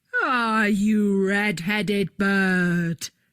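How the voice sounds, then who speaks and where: A woman puts on a character voice. Her pitch is medium. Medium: read story.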